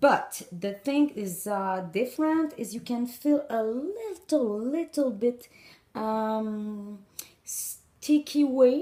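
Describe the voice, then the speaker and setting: In a French accent, a woman with a high pitch and a dark, mellow tone speaks at a very slow pace with lively intonation. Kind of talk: instructional talk to camera.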